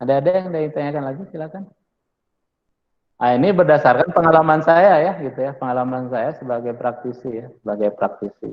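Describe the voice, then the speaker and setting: In a Sundanese accent, a man speaks at a fairly quick pace with a fairly high pitch and ordinary pitch variation. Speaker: university lecturer. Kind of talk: lecture. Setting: classroom with online students. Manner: casual, with many fillers.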